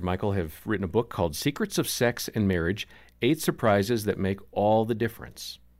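Over a silent background in a very clean recording, a man with an unremarkable speaking voice talks at a moderate pace, his fairly low pitch carried by lively intonation. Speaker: radio co-host and announcer. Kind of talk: radio show announcing. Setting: studio.

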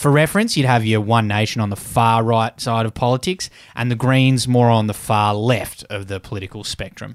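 In an Australian accent, a man speaks at a moderate pace with fairly even intonation and hardly any pauses. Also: medium pitch for a man. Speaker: podcast co-host. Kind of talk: casual chat.

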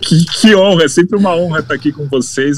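Over noticeable background noise, a man talks at a fairly quick pace. His pitch varies in an ordinary way. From Brazil. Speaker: sports journalist. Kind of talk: casual chat. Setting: studio.

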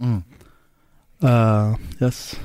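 This is a man speaking. He has an Arabic accent. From Syria. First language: Arabic (speaking Danish). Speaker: taxi driver. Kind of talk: interview. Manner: halting.

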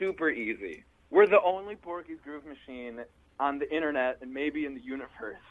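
A man with an American accent speaks at a moderate pace in a fairly high pitch. His pitch varies in an ordinary way, while his loudness swings a lot. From Milwaukee, Wisconsin. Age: 20s. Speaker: funk band musician. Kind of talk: interview.

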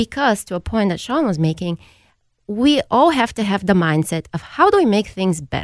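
On a very clean recording with a silent background, a woman with a Bulgarian accent speaks at a moderate pace in a medium pitch, making very wide pitch swings. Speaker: improv company executive. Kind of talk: radio panel discussion.

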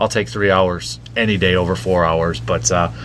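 A man with an American accent speaks at a moderate pace, making very wide pitch swings. There is noticeable background noise. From Medford, northern Wisconsin, US Midwest. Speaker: sports radio host. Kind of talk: casual interview chat.

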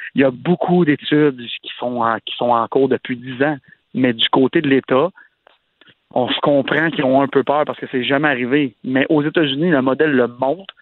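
A man uses an ordinary speaking voice, with a fairly high pitch. His intonation is fairly even and his pace moderate. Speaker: radio columnist. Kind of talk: casual chat.

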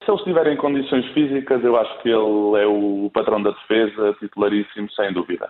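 The speech runs fairly quickly with hardly any pauses, very even loudness and ordinary pitch variation. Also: man, medium pitch for a man. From Spain, raised in Coimbra, Portugal from age 10. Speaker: bank supervisor. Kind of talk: casual interview.

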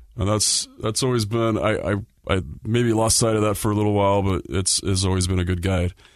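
A man's plain, everyday voice, fairly low-pitched with an American accent, fairly quick in pace, with fairly even intonation and very even loudness, over a quiet background. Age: 40s. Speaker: hockey podcast host. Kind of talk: casual chat. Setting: studio.

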